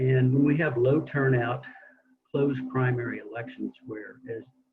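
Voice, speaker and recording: Over music in the background, a man speaks at a moderate pace in a medium pitch with monotone, flat intonation. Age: 60s. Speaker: open primaries advocate. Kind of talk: panel presentation.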